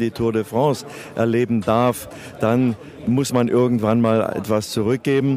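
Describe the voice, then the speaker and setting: Noticeable background noise is present. Over it, a man speaks at a moderate speed. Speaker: veteran sports journalist and race announcer. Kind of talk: interview.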